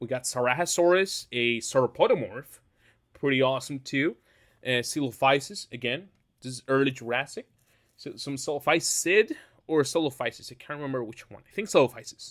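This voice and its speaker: Fairly high-pitched male voice with a non-native accent and big swings in loudness, on a very clean recording with a silent background. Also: ordinary pitch variation, fairly quick pace. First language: not English. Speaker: YouTuber ranking dinosaurs. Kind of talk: casual tier-list commentary. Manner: halting, many fillers.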